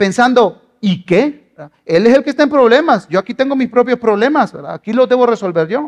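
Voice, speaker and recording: An extremely high-pitched man talks fairly quickly, with hardly any pauses. His intonation is lively and his loudness swings widely. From Guatemala. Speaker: pastor. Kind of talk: sermon.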